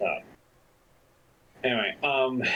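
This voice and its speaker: A man with a medium-pitched voice speaks while noticeable background noise continues. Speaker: gaming video creator. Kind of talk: casual gameplay commentary.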